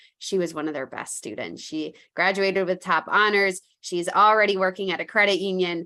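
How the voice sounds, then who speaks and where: A woman speaks fairly quickly in a bright, sharp tone. Her pitch is medium, with ordinary variation. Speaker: credit union foundation presenter. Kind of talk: webinar presentation. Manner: fast.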